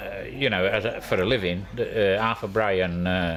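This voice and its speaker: A man with a fairly low pitch and fairly even intonation is heard through audible room echo and noticeable background noise. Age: 70s. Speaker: retired canal boatman. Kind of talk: casual chat.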